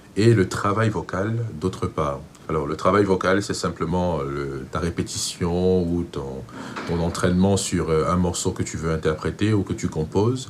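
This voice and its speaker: Very deep and low in pitch, a man with a Cameroonian accent speaks at a fairly slow pace with ordinary pitch variation. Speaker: vocal coach. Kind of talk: tutorial.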